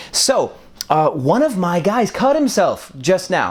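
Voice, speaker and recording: A man with an American accent speaks with very wide pitch swings. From US Midwest, Wisconsin. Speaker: Airbnb business host and YouTuber. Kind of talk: casual vlog talk. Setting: apartment being set up, among boxes. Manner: casual, many fillers (um, uh).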